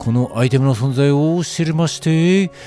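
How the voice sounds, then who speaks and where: A man speaks fairly slowly. Behind him, music is playing. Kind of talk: fashion item review narration. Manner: quirky, idiosyncratic narration.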